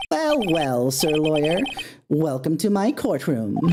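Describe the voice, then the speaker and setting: A put-on character voice from a man, pitched fairly high, with a fairly slow pace. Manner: welcoming, theatrical.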